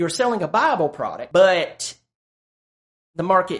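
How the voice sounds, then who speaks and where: The man talks at a moderate speed, and the background behind him is quiet. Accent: Southern US. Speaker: sales coach and YouTuber. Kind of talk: tutorial.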